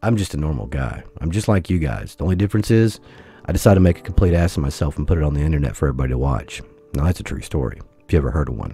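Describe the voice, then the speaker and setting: Over music in the background, a man with a very deep, low pitch talks at a very fast pace with lively intonation. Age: 40s. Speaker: gaming YouTuber. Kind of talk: casual vlog monologue.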